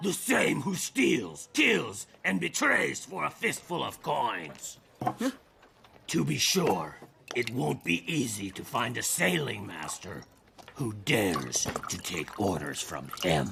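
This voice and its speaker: A man puts on a raspy, cartoonish character voice with a fairly low pitch and very wide pitch swings. He delivers it at a fairly slow pace. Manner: loud, hearty.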